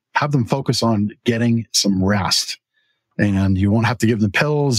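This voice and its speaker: The man has a normal speaking voice at a medium pitch, with ordinary pitch variation. The sound is dry and close, with no echo. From Canada. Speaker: talk show host and mattress store owner. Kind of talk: casual chat. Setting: store.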